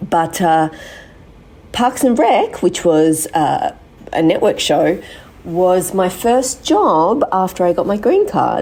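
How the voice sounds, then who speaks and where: A woman talks at a very slow pace in an Australian accent. Her loudness stays very even. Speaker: actress. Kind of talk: recorded voice memo.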